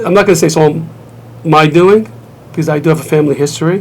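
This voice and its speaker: A man's fairly high voice with a slight Brooklyn accent and ordinary pitch variation, plus noticeable background noise. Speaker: martial arts grandmaster and school owner. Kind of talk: TV interview. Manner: conversational, with hesitations and restarts.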